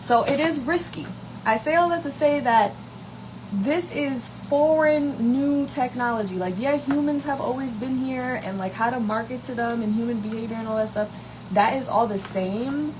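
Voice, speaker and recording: A woman with an American accent, high-pitched with ordinary pitch variation, amid noticeable background noise and audible room echo. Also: moderate pace. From New York, Brooklyn. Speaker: content creator. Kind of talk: casual livestream talk. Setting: live stream. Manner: casual, conversational.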